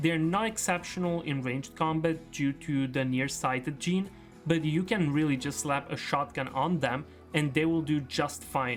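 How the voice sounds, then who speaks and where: The voice has an upbeat tone at a moderate pace. Music plays in the background. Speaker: gaming video creator. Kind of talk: gaming commentary narration. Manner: casual, upbeat.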